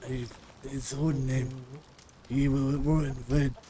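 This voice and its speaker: Putting on a character voice, a man talks fairly slowly at a medium pitch with monotone, flat intonation. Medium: game stream. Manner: halting, broken English, searching for words.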